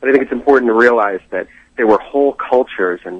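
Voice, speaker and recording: At medium pitch, a man speaks in a plain, everyday voice with fairly even intonation. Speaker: archaeology enthusiast. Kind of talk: phone interview. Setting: phone call.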